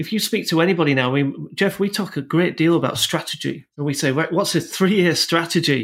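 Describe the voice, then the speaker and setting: A man with a Yorkshire accent speaks fast-ish, fairly quick with hardly any pauses, in a high voice with ordinary pitch variation, on a very clean recording with a silent background. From Yorkshire, northern England. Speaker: technology executive. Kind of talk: podcast interview.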